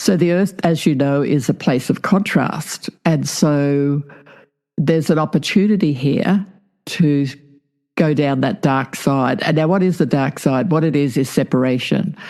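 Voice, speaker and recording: A woman with an Australian accent, a very deep, low pitch and a dark, mellow tone at a fairly slow pace. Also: ordinary pitch variation, very even loudness. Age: 70s. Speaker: past life regressionist and author. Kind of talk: interview.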